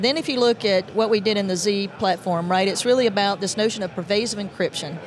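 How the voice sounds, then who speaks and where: Delivered at a fairly quick pace with ordinary pitch variation, the voice has a dry sound with no echo and light background noise. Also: woman. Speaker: guest. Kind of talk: interview answer. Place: hall. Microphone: handheld.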